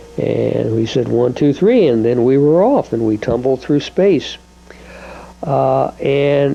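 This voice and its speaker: A man speaks over noticeable background noise. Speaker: home video maker. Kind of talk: personal home video monologue. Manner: halting, many filler words.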